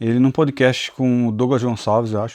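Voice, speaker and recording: The speaker keeps a moderate pace. The background is quiet. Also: man. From Pernambuco, Brazil (Recife and interior). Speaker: Bible teacher and YouTuber. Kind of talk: personal testimony. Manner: halting, repeats words.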